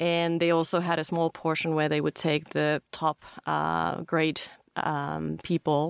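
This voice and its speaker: A woman in a Finnish accent speaks at a fairly slow pace with a very deep, low pitch, monotone, flat intonation and very even loudness. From Finland. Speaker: startup founder. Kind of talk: interview.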